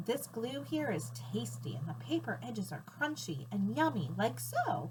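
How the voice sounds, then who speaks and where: Over clear background noise, a woman puts on a character voice with a very deep, low pitch at a moderate pace. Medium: read story. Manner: bossy.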